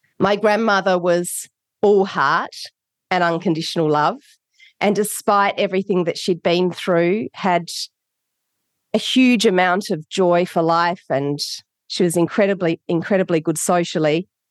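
A woman with an Australian accent, fairly low in pitch, at a fairly slow pace with long, frequent pauses, very even in loudness and fairly even in intonation, in dry, close sound with no echo and a quiet background. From Australia, Adelaide. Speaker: author. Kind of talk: interview.

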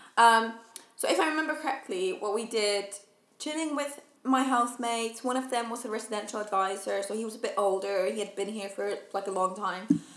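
The speaker talks at a fairly quick pace with ordinary pitch variation. Noticeable background noise runs underneath. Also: woman, fairly high pitch for a woman. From Finland. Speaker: students' union welfare officer. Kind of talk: casual chat.

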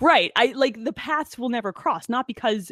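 With an American accent, a woman talks at a fairly quick pace in an ordinary speaking voice, her intonation lively and the sound dry and close with no echo. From New Jersey, Monmouth County. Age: 30s. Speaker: electrical engineer. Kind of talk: casual chat.

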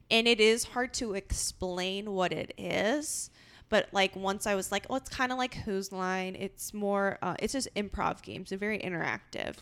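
A woman with an American accent speaks in an ordinary speaking voice at medium pitch, keeping a moderate pace with hardly any pauses and ordinary pitch variation. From Los Angeles. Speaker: improviser and podcast co-host. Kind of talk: casual chat. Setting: at home.

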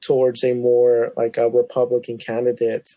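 With an American accent, this man's voice has a dark, mellow tone. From Tulsa, Oklahoma. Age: 20s. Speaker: podcast guest. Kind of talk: casual chat.

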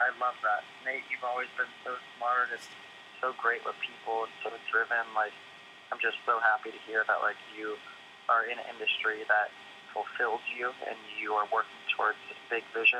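A man talks at a moderate pace with long, frequent pauses. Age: 20s. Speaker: head of sales at a tech startup. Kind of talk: casual interview chat. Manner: halting, many fillers and repeated words.

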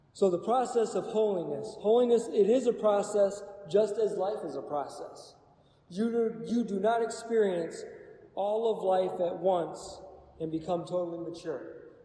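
A man talks at a high pitch amid noticeable background noise and audible room echo. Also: ordinary pitch variation, moderate pace. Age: 40s. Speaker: Bible study teacher. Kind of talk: Bible study teaching.

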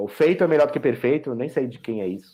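The man's medium-pitched voice carries lively intonation. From Brazil. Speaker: software architect. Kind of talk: casual chat. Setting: video call. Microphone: too quiet on one platform.

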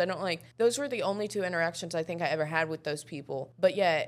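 A woman talks at a fast pace. Her pitch is fairly low, with ordinary variation. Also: very clean recording, silent background.

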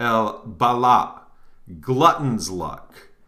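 A man speaks at a medium pitch with a bright, sharp tone and ordinary pitch variation. Room echo is audible. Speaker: occult podcast host. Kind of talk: reading aloud with commentary. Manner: halting.

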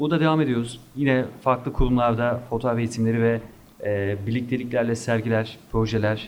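Speaking at a moderate pace, a man has an unremarkable speaking voice at medium pitch with fairly even intonation. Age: 30s. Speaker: photography instructor. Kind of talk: interview.

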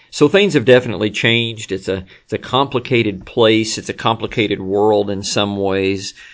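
A man with an unremarkable speaking voice talks at a moderate pace and fairly low pitch, with fairly even intonation and hardly any pauses. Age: 50s. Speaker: pastor. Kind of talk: sermon recap recorded at desk. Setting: at a desk, not in church. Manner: many filler words (um, uh).

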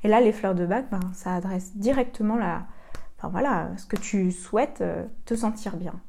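A somewhat breathy woman's voice, medium in pitch, with a dark, mellow tone and a moderate pace. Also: ordinary pitch variation. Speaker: podcast host and coach for sensitive women. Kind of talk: solo podcast monologue. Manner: hesitant, many fillers.

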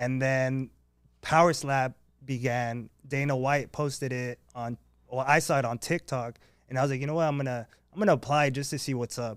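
In a very clean recording with a silent background, a man speaks at a fairly quick pace. He has an ordinary speaking voice, fairly high in pitch, with fairly even intonation. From Baja California border region. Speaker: power slap fighter. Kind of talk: casual chat. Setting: studio.

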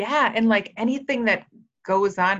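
With an American accent, a woman speaks fairly slowly at a medium pitch in an unremarkable speaking voice, her intonation lively. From rural Minnesota, US Upper Midwest. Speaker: wellness program supervisor and personal trainer. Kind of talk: interview. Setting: video call.

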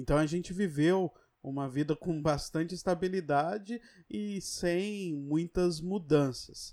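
On a very clean recording with a silent background, a man with a high pitch and a dark, mellow tone speaks at a very slow pace with ordinary pitch variation. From São Paulo. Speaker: podcast co-host. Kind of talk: casual chat.

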